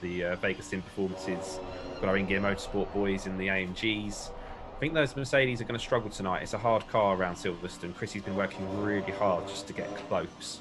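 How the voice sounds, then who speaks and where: A man with a fairly low pitch rattles along at a very fast pace while music plays in the background. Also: ordinary pitch variation. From UK. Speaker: sim racing commentator. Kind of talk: live commentary. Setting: live stream commentary box. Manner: casual, hesitant with fillers.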